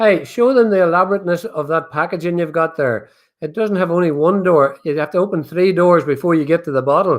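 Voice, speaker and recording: Over a quiet background, a man with a high pitch talks at a fairly quick pace with ordinary pitch variation. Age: 70s. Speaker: whiskey company owner. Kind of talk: casual chat. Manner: animated.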